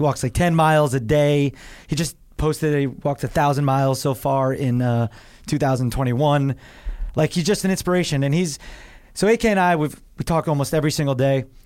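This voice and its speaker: In a New Jersey accent, a man with a fairly high pitch talks at very even loudness with ordinary pitch variation, recorded very cleanly over a silent background. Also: moderate pace. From New Jersey shore. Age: 30s. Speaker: actor and comedian. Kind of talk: casual chat.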